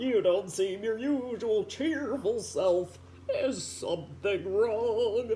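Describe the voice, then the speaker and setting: Against clear background noise, a put-on character voice with fairly high pitch goes at a very slow pace. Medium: read story. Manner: warm, gentle.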